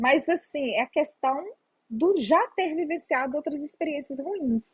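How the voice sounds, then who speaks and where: Recorded with a dry, close sound and no echo, a woman talks at a fairly slow pace. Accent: Minas Gerais. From Minas Gerais, Brazil. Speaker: psychologist. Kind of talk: interview answer.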